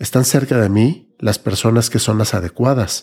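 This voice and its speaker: At a moderate pace, a man with a medium pitch, ordinary pitch variation, and a dark, mellow, somewhat breathy tone speaks on a very clean recording with a silent background. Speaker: podcast host. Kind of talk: personal reflective monologue.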